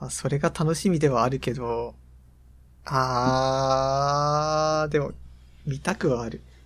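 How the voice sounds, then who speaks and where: This man talks at a very slow pace. His pitch sits in the medium range. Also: fairly even intonation. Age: 20s. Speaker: podcast co-host, university student. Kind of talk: casual chat.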